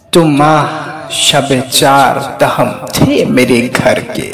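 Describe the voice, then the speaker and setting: A man's fairly high voice over background music. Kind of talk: poetry reading. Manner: emotional, heartfelt.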